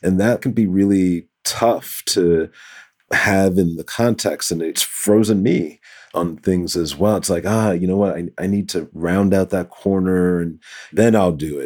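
Very deep and low in pitch, a man speaks with an American accent. He talks at a fairly slow pace with fairly even intonation. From New York City, the Bronx. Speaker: tech executive. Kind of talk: interview. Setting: video call.

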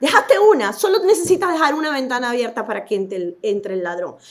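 At a moderate pace, the voice rises and falls in very wide pitch swings. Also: woman. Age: 50s. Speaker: physician. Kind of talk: interview.

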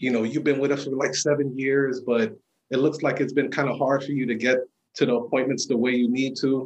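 The man's voice is medium in pitch and delivered in a flat monotone. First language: not English. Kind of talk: casual storytelling interview.

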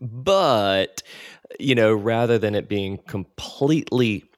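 A normal speaking voice. Its pitch varies in an ordinary way. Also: man. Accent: American. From US South. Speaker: podcast host. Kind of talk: interview.

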